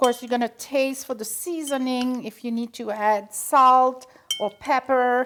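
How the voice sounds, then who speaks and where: A high-pitched woman with a French accent speaks with fairly even intonation but big swings in loudness. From Belgium. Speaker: home cooking host. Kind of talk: cooking tutorial. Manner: chatty, warm.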